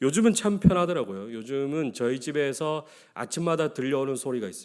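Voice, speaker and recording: Speaking at a fairly quick pace with lively intonation, a man's fairly high voice swings widely in loudness on a very clean recording with a silent background. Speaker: pastor. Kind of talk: sermon.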